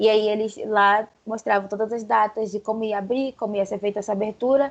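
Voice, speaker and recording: A woman speaks fairly quickly, her fairly high voice held in a monotone, flat intonation. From Brazil, Pará. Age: 20s. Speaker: journalist. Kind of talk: casual chat.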